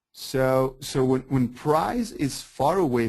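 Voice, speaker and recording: A man with a Colombian accent speaks at a medium pitch with ordinary variation. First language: Spanish. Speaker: forex trader. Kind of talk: webinar presentation. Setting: online webinar. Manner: animated.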